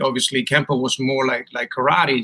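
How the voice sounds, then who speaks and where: A man with a Chilean Spanish accent speaks at a moderate pace in a medium pitch. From Chile, Punta Arenas. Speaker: martial arts instructor. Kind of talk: casual interview.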